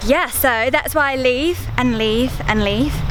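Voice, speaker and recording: In a relaxed tone with ordinary pitch variation, a woman speaks over noticeable background noise. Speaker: parenting and lifestyle vlogger. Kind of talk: vlog monologue. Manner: relaxed, conversational.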